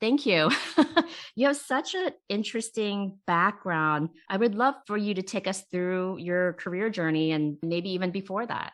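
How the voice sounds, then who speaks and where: At a fairly slow pace, a woman with a medium pitch and lively intonation talks in an unremarkable speaking voice. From immigrant to US, came as child. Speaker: CEO and interview host. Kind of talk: interview.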